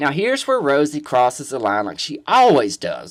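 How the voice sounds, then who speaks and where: Delivery comes at a moderate pace. The recording is very clean, with a silent background. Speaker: drag queen vlogger. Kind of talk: opinion vlog monologue. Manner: loud, in your face.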